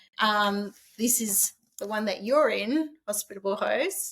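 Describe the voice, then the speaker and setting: A woman with an Australian accent, fairly high in pitch, at a moderate pace. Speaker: author and short-term rental host. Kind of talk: podcast interview. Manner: halting, many false starts.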